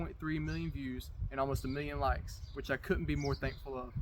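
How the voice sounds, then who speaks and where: Speaking with a Southern US accent, this man keeps up a fairly quick pace. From US South, Georgia. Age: 20s. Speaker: welder and metal sculptor. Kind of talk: application video monologue.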